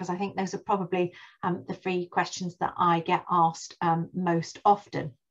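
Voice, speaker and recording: The setting behind the voice is quiet. A woman talks at a moderate pace. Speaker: webinar host. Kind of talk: webinar presentation. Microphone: video call.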